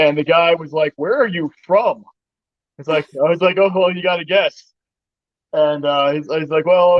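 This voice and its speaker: With an American accent, a man speaks at a high pitch with fairly even intonation. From Boston, Massachusetts. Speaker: HVAC worker. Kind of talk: casual chat.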